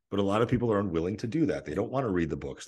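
A man talks at a very fast pace with vocal fry. The background is quiet. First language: not English. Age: 30s. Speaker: nutrition coach. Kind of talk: casual chat. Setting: video call.

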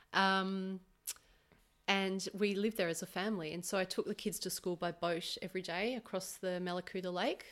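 A woman with an Australian accent talks at a moderate pace in a medium pitch, her intonation flat and monotone. The recording is very clean, with a silent background. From Australia, Melbourne. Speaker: massage therapist. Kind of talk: casual interview. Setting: her home.

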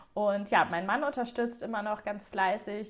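The speaker keeps a moderate pace and fairly even intonation over noticeable background noise. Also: woman. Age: 30s. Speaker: wedding stationery designer. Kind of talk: interview. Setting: podcast.

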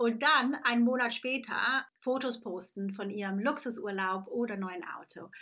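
Her tone bright and sharp, a woman speaks at a fairly high pitch with fairly even intonation. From Switzerland, Lake Constance. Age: 40s. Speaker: podcast host and business coach. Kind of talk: solo podcast monologue. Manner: casual, many fillers and English phrases.

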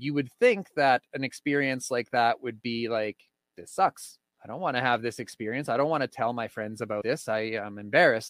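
A man's plain, everyday voice with a Canadian accent, medium pitch, ordinary pitch variation and a fairly quick pace. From Saskatchewan, Canada. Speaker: recovering addict, podcast host. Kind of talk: personal testimony interview.

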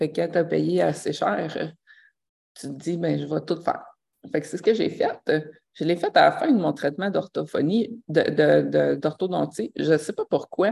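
On a very clean recording with a silent background, a woman speaks at a fairly slow pace in a Quebec accent. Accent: Québécois French. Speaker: life coach and podcaster. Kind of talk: casual live monologue. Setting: live stream.

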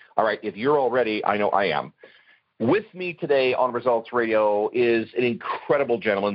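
An unremarkable speaking voice from a man, medium in pitch, with ordinary pitch variation at a moderate pace. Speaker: radio host.

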